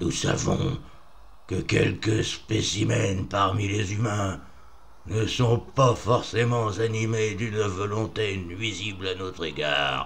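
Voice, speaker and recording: A man puts on a loud character voice at a fairly low pitch and a fairly slow pace, with clear background noise behind him. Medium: read story. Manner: oratorical, studied inflections.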